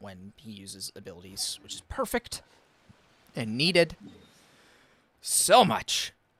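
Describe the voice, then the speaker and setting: A man talks at a fairly slow pace with a strong eastern US accent. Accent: Eastern US accent, self-described as strong. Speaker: gaming streamer. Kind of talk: live stream gameplay chat.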